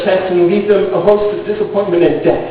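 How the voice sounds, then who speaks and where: A man talks fairly quickly, with noticeable noise in the background. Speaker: slam poet. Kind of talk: slam poetry performance. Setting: live event.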